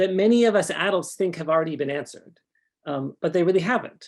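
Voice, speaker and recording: Against a quiet background, the speaker talks in a Canadian accent. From Canada. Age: 50s. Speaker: author and sex educator. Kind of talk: conference talk. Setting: conference stage with audience. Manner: hesitant, many fillers.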